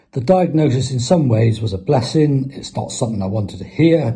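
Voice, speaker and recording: Lively in intonation, a man with a southern English accent has a dark, mellow tone and a somewhat breathy voice. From southern England, Isle of Wight. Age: 60s. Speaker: patient. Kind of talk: testimony. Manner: halting.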